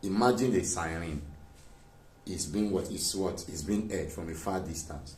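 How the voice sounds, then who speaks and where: A soft-spoken man talks with a very deep, low pitch at a moderate pace. His pitch varies in an ordinary way, and audible room echo surrounds him. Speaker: physics teacher. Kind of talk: lecture.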